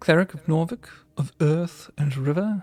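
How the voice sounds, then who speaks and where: In a put-on character voice, shrill and at middle pitch, the speaker moves at a moderate pace. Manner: threatening, imperious.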